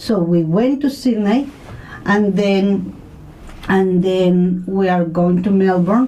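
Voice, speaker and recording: With a Spanish accent, a woman speaks at a very slow pace in a medium pitch, with ordinary pitch variation and very even loudness. Noticeable background noise and audible room echo surround her voice. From Mexico. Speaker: community radio presenter. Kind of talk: radio interview. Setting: studio.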